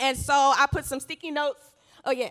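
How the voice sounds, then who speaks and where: A raised, projected voice with an American accent moves at a fairly quick pace, animated and bright with a sharp tone. The recording is very clean, with a silent background. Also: woman. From US South, Georgia. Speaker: church speaker. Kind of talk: testimony talk.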